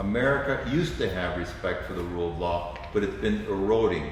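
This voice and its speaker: Fairly low in pitch, a man talks at a fairly quick pace. Audible room echo and noticeable background noise surround his voice. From Cuba. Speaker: lawyer. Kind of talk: political discussion. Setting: live stream.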